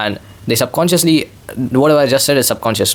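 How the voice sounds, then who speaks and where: Music plays in the background while a man talks at a fairly quick pace. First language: not English. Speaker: vlogger. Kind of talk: casual monologue. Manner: rambling, repetitive filler.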